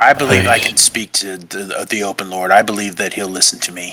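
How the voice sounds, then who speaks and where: A man's raspy, put-on character voice, fairly low in pitch, fairly quick in pace, with fairly even intonation. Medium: actual play.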